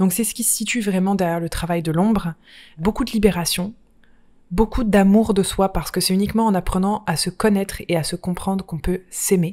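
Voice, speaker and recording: The voice has a dark, mellow tone and fairly even intonation, moving at a fairly quick pace. It is a very clean recording with a silent background. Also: woman, medium pitch for a woman. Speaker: life coach and podcast host. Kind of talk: solo podcast monologue. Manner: warm, affectionate.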